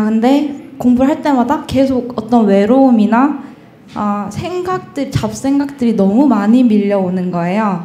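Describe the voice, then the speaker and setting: Audible room echo surrounds a woman as she talks. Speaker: student preparing for exam. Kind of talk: audience question. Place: hall.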